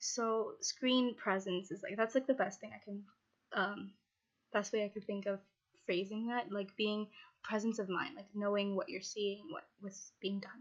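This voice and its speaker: At a moderate pace, a woman speaks at medium pitch with ordinary pitch variation and big swings in loudness. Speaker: video editing tutor. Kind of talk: tutorial. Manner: hesitant, many fillers.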